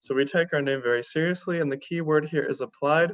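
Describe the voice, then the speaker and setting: A man with an American accent speaks very fast with ordinary pitch variation. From US. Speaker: university admissions manager. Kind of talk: presentation.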